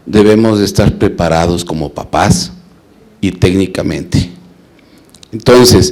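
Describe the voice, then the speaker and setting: Over noticeable background noise, a man with a very deep, low pitch talks at a fairly slow pace with long, frequent pauses. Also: ordinary pitch variation. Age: 60s. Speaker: parent in audience asking a question. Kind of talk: audience question at a talk.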